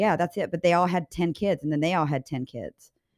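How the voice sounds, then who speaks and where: A plain, everyday voice from a woman with an American accent, fairly low in pitch with ordinary pitch variation, at a fairly quick pace, dry and close with no echo, on a very clean recording with a silent background. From Kansas. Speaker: podcast co-host. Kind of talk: casual chat.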